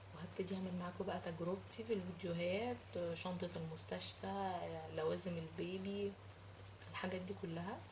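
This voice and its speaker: Noticeable background noise and audible room echo fill the recording. Within it, a woman speaks at a moderate pace. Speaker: cooking and lifestyle vlogger. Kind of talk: casual vlog monologue to viewers. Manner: halting, with many fillers.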